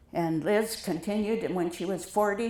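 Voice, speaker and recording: A woman's pitch varies in an ordinary way, with audible echo from the room. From US Midwest (South Dakota). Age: 80s+. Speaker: retired teacher and artist. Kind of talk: interview before an audience. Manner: halting.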